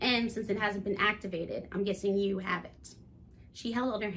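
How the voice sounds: Fairly even intonation from a natural reading voice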